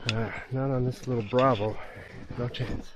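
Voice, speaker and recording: A man talks at a fairly slow pace with a medium pitch. Room echo is audible. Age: 60s. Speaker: woodsman vlogger. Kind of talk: outdoor tutorial vlog. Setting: outdoors in winter woods. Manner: casual, chatty.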